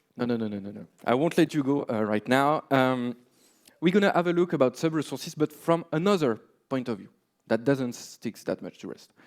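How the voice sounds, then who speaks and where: Lively intonation with a French accent comes at a fairly quick pace, with big swings in loudness, on a very clean recording with a silent background. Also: man, medium pitch for a man. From France. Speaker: software developer, conference speaker. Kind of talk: conference talk. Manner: many filler words (uh, um).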